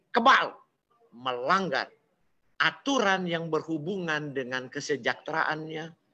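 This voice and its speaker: Projecting a raised voice, a man speaks with a bright, sharp tone and lively intonation. His pace is fairly slow. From Manado, North Sulawesi, Indonesia. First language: Manado Malay (speaking Indonesian). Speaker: preacher. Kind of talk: sermon. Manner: animated.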